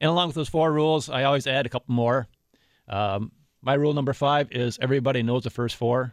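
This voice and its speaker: Against a quiet background, a man with an American accent talks at a very fast pace. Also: medium pitch for a man, fairly even intonation. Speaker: recreation safety warden. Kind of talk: radio interview. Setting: studio.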